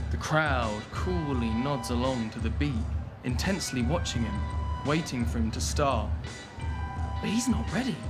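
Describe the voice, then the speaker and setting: A man is speaking. Music plays in the background. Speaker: parent narrator. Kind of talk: children's story narration, audiobook style.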